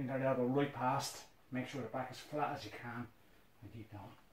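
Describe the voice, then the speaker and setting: Over loud background noise and audible room echo, a man talks at a fairly slow pace. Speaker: fitness instructor. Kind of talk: guided workout instruction. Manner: energetic, brisk countdown-driven coaching with short commands; encouraging, motivating. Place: home room.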